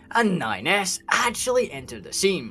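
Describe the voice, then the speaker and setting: Music in the background behind a man with a Scottish accent, his pitch swinging very widely at a fairly slow pace. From Scotland. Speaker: gaming lore YouTuber. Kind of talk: video game lore explainer narration. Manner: irreverent, profane, energetic.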